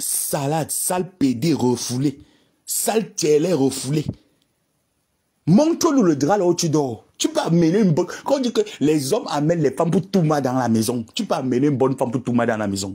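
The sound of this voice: With a dark, mellow tone and a slightly husky edge, the voice makes big pitch swings at a moderate pace. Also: woman, low pitch for a woman.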